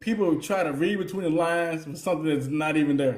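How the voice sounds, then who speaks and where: A man with a Southern US accent, fairly high in pitch, at a fairly quick pace, in an animated, relaxed tone with ordinary pitch variation and audible room echo. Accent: country Southern, by his own remark. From US South, Mississippi Delta. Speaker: podcast co-host. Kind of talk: casual chat. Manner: relaxed, informal.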